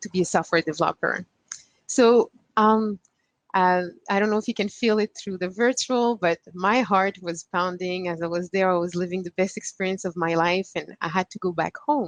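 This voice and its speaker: Recorded dry and close with no echo, a woman with a Quebec accent speaks at a medium pitch and a moderate pace with ordinary pitch variation. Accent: Québécois French-accented English. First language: French. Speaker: panelist. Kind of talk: personal story on a panel. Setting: virtual conference. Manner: halting.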